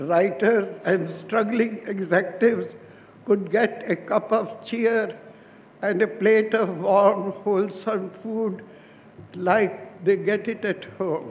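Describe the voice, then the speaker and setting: Against noticeable background noise, a man speaks very slowly in a high pitch with fairly even intonation. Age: 80s+. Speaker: restaurant founder. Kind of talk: award acceptance speech.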